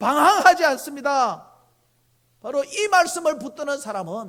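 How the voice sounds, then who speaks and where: A man's bright, sharp tone at a fairly slow pace. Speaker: pastor. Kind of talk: sermon. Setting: church.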